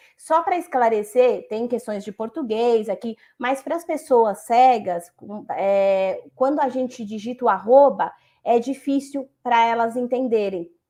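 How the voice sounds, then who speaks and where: Against a quiet background, a woman with a high pitch and a dark, mellow tone talks at a fairly slow pace with ordinary pitch variation. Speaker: compliance specialist. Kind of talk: panel discussion.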